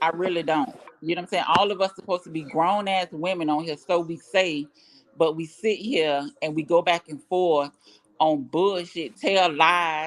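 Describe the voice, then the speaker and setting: At a moderate pace, a woman speaks with fairly low pitch and ordinary pitch variation. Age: 40s. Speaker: YouTube live streamer. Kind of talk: casual live stream chat.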